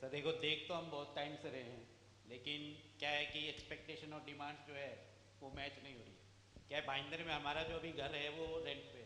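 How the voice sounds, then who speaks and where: A man with a fairly high voice speaks at a moderate pace with fairly even intonation. Room echo is audible. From Haryana, Bhiwani. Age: 40s. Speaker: furniture businessman, marriage candidate. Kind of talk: self-introduction on stage. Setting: party hall stage with audience.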